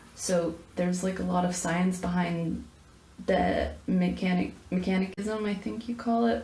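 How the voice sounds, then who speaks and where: A woman's moderately paced speech carries audible room echo, with noticeable background noise behind it. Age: 20s. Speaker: college student. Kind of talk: personal video answering questionnaire. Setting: filming in a bathroom. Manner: halting, stuttering; rambling.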